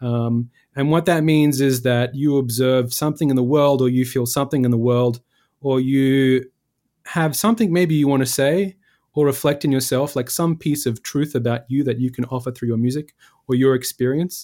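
A man with an Australian accent speaks at a moderate pace in a medium pitch with fairly even intonation. His loudness stays very even in a very clean recording with a silent background. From Western Australia, Perth hills. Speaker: composer. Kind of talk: interview. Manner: hesitant, many fillers.

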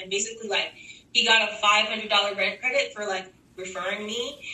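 A woman with a fairly high pitch talks at a moderate pace as noticeable noise runs in the background. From Texas. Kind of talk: casual chat. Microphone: poor audio quality, remote recording.

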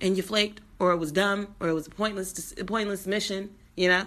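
Against a quiet background, a woman talks at a fairly quick pace in an animated, bright and sharp tone. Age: 30s. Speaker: podcast host. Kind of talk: casual monologue.

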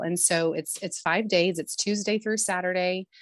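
In an American accent, a woman speaks with a fairly low pitch and fairly even intonation over a quiet background. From Tontitown, Arkansas (Ozarks). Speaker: winery owner. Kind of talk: interview.

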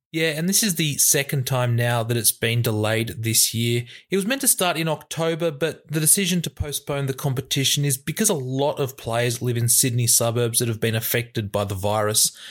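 A man speaks at a fairly quick pace with hardly any pauses and very even loudness. His pitch sits in the medium range with ordinary variation. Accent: Australian. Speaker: sports news podcast host. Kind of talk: scripted news reading.

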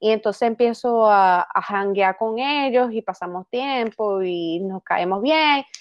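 With hardly any pauses, a woman talks at a very slow pace in a fairly high voice with ordinary pitch variation. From Venezuela. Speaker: actress. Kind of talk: casual chat. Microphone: laptop mic.

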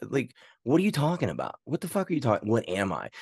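With a dark, mellow tone and vocal fry, a man speaks at a fairly quick pace with very wide pitch swings, in a dry, close sound with no echo over a quiet background. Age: 40s. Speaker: arm wrestler and personal trainer. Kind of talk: casual chat. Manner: halting, many restarts and fillers.

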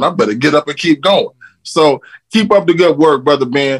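Dry and close with no echo, this is an unremarkable speaking voice moving at a fairly quick pace with lively intonation. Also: man. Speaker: caller. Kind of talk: testimony. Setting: video call.

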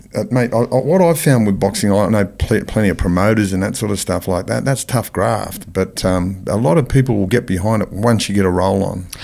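Speaking in an Australian accent, a man with a fairly low pitch and a dark, mellow tone moves at a fairly quick pace with hardly any pauses and ordinary pitch variation. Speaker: podcast host. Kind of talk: interview.

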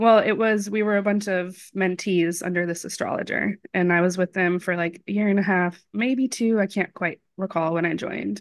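Using an unremarkable speaking voice, a woman talks at a moderate pace in medium pitch with fairly even intonation. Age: 30s. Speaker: astrology student. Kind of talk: reading aloud; casual chat.

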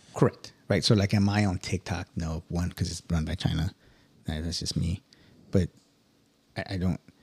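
A man talks at a moderate pace in a very deep, low voice that is somewhat breathy, with fairly even intonation and long, frequent pauses. The sound is dry and close, with no echo. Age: 40s. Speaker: Marine senior enlisted. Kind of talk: casual chat.

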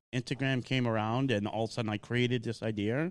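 A man with a Boston accent talks at a moderate pace in a medium pitch, against a quiet background.

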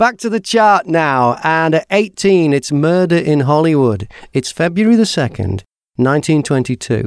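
A man with a British accent and a fairly high pitch speaks at a very slow pace with very wide pitch swings and very even loudness, in a very clean, dry, close recording with no echo and a silent background. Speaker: podcast host. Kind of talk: scripted intro and interview.

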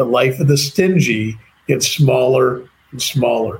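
Speaking fairly slowly in a Chicago accent, a man uses ordinary pitch variation. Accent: American (Chicago). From US, Chicago. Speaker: entrepreneur and author. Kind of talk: interview conversation. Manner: halting, with many repeated words.

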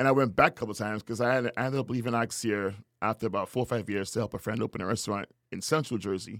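A man talks in a Trinidadian accent at a very fast pace, his medium pitch carried by fairly even intonation. The recording is very clean, with a silent background. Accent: Trinidadian Caribbean. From Trinidad and Tobago. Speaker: chef. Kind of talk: casual interview chat.

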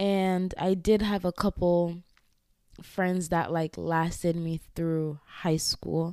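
A woman's dark, mellow voice moves at a very slow pace with monotone, flat intonation. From Ghana. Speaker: podcast host. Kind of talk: solo personal monologue. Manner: casual, frequent laughter.

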